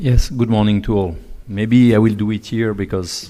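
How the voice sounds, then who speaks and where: A man with a Swiss French accent speaks at a moderate pace in a fairly low pitch, his tone dark and mellow and his intonation fairly even. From French-speaking Switzerland. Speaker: UN agency official, conference speaker. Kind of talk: conference talk. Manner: hesitant, with fillers.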